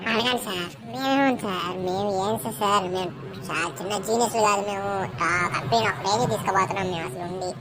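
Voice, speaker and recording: A cartoonish character voice at a moderate pace over loud background noise. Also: woman, medium pitch for a woman. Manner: whiny, rambling.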